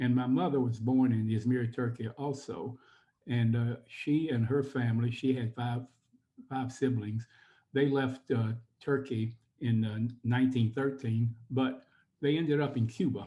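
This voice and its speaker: Speaking with an American accent, a man has a medium pitch and a dark, mellow tone. His voice is somewhat breathy, and his pace is fairly slow. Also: fairly even intonation. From Atlanta, Georgia, US South. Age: 80s+. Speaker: former synagogue president, community historian. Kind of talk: interview. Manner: halting.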